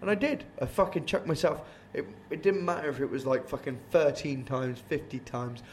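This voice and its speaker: A somewhat breathy man talks at a fairly quick pace. His pitch is fairly high, with ordinary variation. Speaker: band vocalist hosting band podcast. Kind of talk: casual chat. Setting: late night recording after gig.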